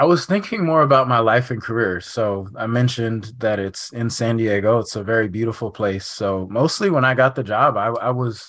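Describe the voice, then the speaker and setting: In an American accent, a man with a normal speaking voice talks at a fairly quick pace on a very clean recording with a silent background. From California, Sacramento. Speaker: journalist and author. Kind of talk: interview.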